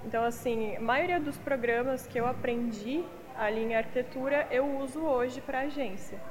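There is noticeable background noise and audible room echo. A woman with a high pitch speaks at a moderate pace with ordinary pitch variation. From western Paraná, Brazil. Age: 20s. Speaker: digital marketing agency owner and model. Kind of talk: interview. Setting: on camera at a venue.

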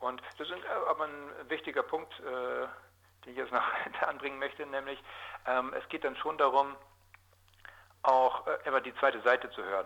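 A man with a fairly high pitch speaks with fairly even intonation. He leaves long, frequent pauses, and noticeable background noise is present. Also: moderate pace. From southwestern Lower Saxony, Germany (Osnabrück area). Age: 40s. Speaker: journalist. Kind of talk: interview. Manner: hesitant, many filler sounds.

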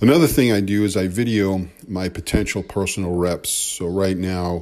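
Speaking at a moderate pace, a man with a very deep, low pitch is heard in a very clean recording with a silent background. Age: 50s. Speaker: podcast host, home strength trainer. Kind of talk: solo podcast monologue. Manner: hesitant, with fillers.

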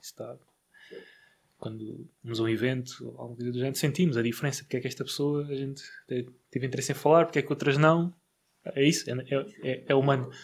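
A man speaks very fast at a medium pitch, in a somewhat breathy voice with fairly even intonation. His loudness swings widely, with long, frequent pauses, on a very clean recording with a silent background. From Portugal, Barreiro. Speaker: podcast host, real estate investor. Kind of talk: casual interview. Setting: studio.

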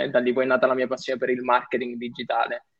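A man talks at a very fast pace. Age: young. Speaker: digital entrepreneur and content creator. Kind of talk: casual chat.

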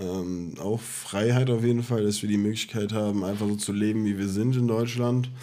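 Audible room echo surrounds a man whose fairly low voice has a dark, mellow tone. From Germany, Offenbach (Hesse). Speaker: podcast co-host. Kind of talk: casual chat. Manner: laughing, giggly.

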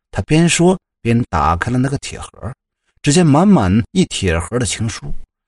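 A natural reading voice sounds over a quiet background.

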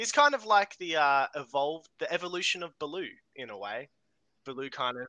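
A man with an Australian accent talks at a fairly quick pace in a fairly high pitch, his tone bright and sharp. His loudness swings widely, and the sound is dry and close with no echo. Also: lively intonation. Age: 20s. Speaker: guest. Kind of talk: casual chat.

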